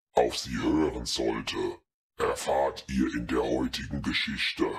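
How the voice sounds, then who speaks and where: A man with a raspy, very deep, low voice speaks at a fairly slow pace. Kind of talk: horror narration. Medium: read story. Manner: eerie, inviting.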